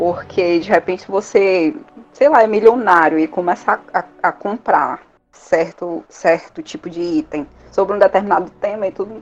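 It's a woman with a normal speaking voice at medium pitch. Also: lively intonation, moderate pace. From Fortaleza, Ceará, Brazil. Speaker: collector, fan community member. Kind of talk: casual podcast conversation.

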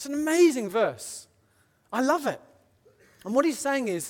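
With a British accent, the speaker talks at a moderate pace in a very clean recording with a silent background. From Britain. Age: 30s. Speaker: preacher. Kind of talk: sermon. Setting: church.

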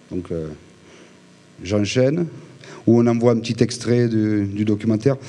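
Pausing long and often, a man of medium pitch speaks at a fairly slow pace with ordinary pitch variation. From Provence, Haut-Var (southern France). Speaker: film director. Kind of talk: talk to a live audience. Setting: venue with audience. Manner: halting, many repetitions.

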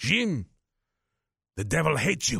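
A man does a raspy, put-on character voice in a Polish accent, his pitch swinging very widely. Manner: emphatic, pointed warning.

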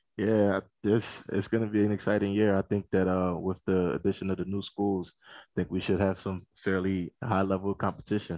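In a slight East Coast US accent, a man speaks monotone and flat at a fairly low pitch, his tone dark and mellow, the sound dry and close with no echo. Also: moderate pace. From Philadelphia. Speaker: college conference staffer. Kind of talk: casual interview.

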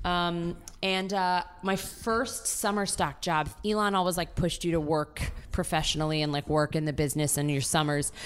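Speaking in a normal speaking voice with an American accent, a woman keeps a fairly low pitch, ordinary pitch variation, very even loudness, and a moderate pace. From Maryland, US. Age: 20s. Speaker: actor. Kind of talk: casual chat.

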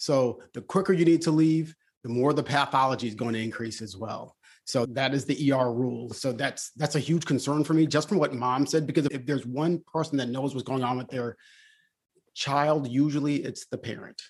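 Speaking in a plain, everyday voice, a man has a fairly high pitch. His pace is moderate and his pitch variation ordinary. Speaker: emergency physician. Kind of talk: casual panel discussion.

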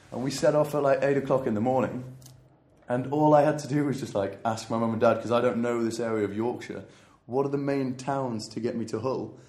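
A man with an English accent speaks at a fairly quick pace in a dark, mellow tone at medium pitch, his intonation fairly even, with audible room echo. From England. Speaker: traveller. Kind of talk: casual chat. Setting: in Goa, India.

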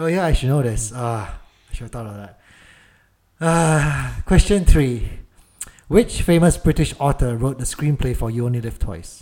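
This man has an unremarkable speaking voice at medium pitch, with lively intonation. He talks at a moderate pace, and his loudness swings widely. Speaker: podcast co-host. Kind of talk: casual chat.

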